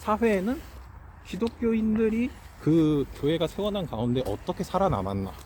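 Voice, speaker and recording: Speaking at a moderate pace, a man with a high voice makes very wide pitch swings. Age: 20s. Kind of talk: interview answer.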